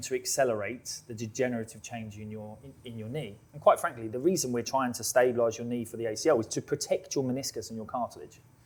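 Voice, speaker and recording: A man with a British accent and a medium pitch speaks at a very fast pace with fairly even intonation. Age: 30s. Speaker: physiotherapist. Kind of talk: live podcast discussion. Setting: live recording with audience.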